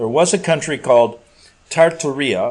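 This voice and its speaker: With an American accent and a plain, everyday voice, a man talks at a moderate pace in a fairly high pitch with lively intonation. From US Midwest, Chicago. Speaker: talk radio host. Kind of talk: casual monologue reading listener email. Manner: rambling, conversational with many fillers.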